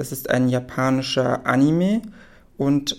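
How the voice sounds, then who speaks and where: This man talks in a dark, mellow tone at a medium pitch, with ordinary pitch variation. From Berlin, Germany. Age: 20s. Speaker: university student. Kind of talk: spoken film summary.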